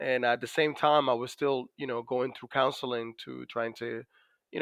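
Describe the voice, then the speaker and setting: Dry, close sound with no echo, a man at medium pitch with a Dominican accent and monotone, flat intonation. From Dominican Republic. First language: Spanish. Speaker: navy master chief, PTSD survivor. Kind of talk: podcast interview. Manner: many fillers and hesitations.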